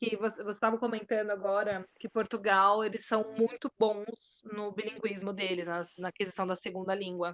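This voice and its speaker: A woman talks in a monotone, flat delivery, recorded with a dry, close sound and no echo. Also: medium pitch for a woman, moderate pace, hardly any pauses. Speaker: bilingual teacher. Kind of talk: casual interview chat.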